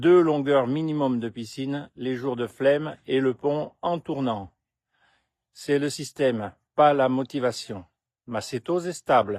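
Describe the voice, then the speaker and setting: The sound is dry and close with no echo as a man speaks very slowly over a quiet background, his pitch varying in an ordinary way. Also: medium pitch for a man. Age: 60s. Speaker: health vlogger. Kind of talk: vlog monologue.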